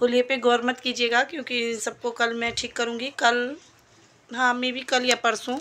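A woman speaks in a bright, sharp tone at a high pitch. Her delivery is fairly slow, with monotone, flat intonation. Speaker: vlogger. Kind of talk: casual vlog narration.

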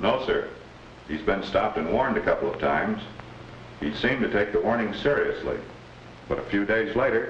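A man's stern voice at a fairly quick pace, broken by long, frequent pauses, with audible room echo and light background noise. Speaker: traffic police officer. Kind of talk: vintage educational film, testimony in court. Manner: stern, matter-of-fact, formal. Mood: serious, measured. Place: office. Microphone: old recording.

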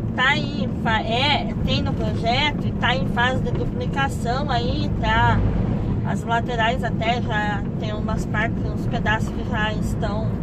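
A woman talks at a very slow pace in a dry sound with no echo, with loud background noise behind her. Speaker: truck driver vlogger. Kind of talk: casual vlog chat. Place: car. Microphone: phone near.

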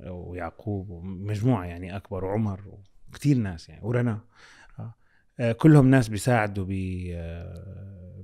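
Speaking at a fairly slow pace over a quiet background, a man with a fairly low pitch, ordinary pitch variation and a dark, mellow tone shows big swings in loudness. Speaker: content creator and communications executive. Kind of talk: casual chat. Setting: studio. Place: studio. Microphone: studio mic.

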